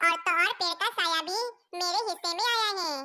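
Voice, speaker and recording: A woman does a squeaky, cartoonish character voice at an extremely high pitch. She talks at a fairly quick pace. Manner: soft, earnest.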